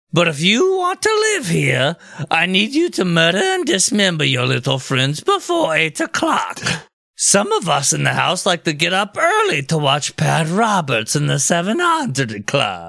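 A man puts on a character voice at a high pitch. He keeps a moderate pace.

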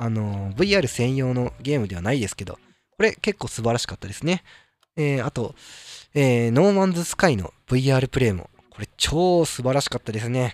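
A man talks at a moderate pace in a medium pitch, his voice making very wide pitch swings. The sound is dry and close with no echo, on a very clean recording with a silent background. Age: 30s. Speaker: solo gaming podcast host. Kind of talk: casual solo monologue. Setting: solo podcast recording. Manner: hesitant, many fillers.

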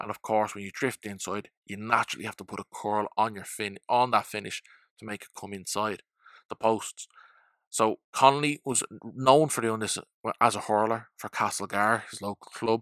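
With an Irish accent, a man speaks at a moderate pace and fairly low pitch, his intonation fairly even but his loudness swinging widely, in a very clean, dry, close recording with a silent background and no echo. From Ireland. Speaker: football podcast host. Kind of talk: solo podcast monologue.

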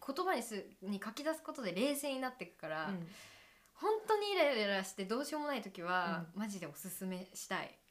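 This woman's voice sits fairly high. Her pitch swings very widely as she talks. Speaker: podcast co-host, musician. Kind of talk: casual chat. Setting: video-recorded studio chat.

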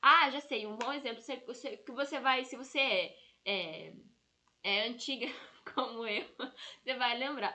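A woman's animated voice at a moderate pace, with ordinary pitch variation. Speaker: aromatherapy educator. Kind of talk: live stream class. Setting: live stream on Instagram and YouTube.

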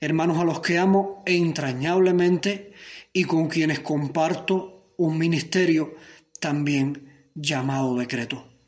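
The speaker talks at a very slow pace with fairly even intonation, and room echo is audible. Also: man, fairly high pitch for a man. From Cuba. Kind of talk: sermon.

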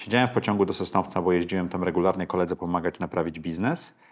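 A man speaks at a very fast pace. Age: 50s. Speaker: investor and podcaster. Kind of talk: interview.

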